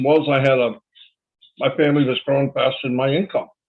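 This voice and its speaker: Speaking at a moderate pace, a man has a fairly high pitch and fairly even intonation. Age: 60s. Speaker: online marketer. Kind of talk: webinar presentation. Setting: online webinar.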